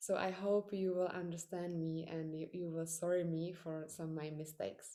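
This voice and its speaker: A woman with a Czech accent has a fairly low pitch and a dark, mellow tone, delivered in monotone, flat intonation. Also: moderate pace. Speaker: podcaster. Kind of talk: interview. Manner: halting.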